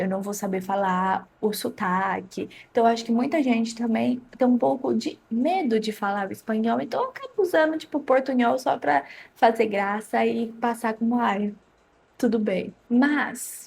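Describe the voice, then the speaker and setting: A somewhat breathy woman speaks at a fairly slow pace with lively intonation. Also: fairly high pitch for a woman. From Brazil, interior of São Paulo state. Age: 20s. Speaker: language-learning YouTuber. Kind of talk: tutorial. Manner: casual, conversational.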